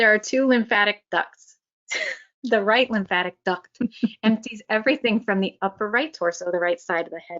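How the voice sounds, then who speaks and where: With an American accent, a woman speaks at a moderate pace in a fairly high pitch with ordinary pitch variation. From Florida, US South. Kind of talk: explaining anatomy, lecture-like.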